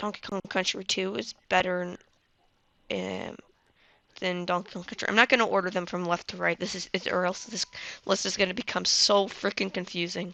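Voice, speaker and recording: A woman speaks at a moderate pace in a medium pitch, her tone bright and sharp with vocal fry and fairly even intonation, against a quiet background. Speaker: gaming youtuber. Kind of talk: casual tier list commentary. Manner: casual, hesitant with fillers.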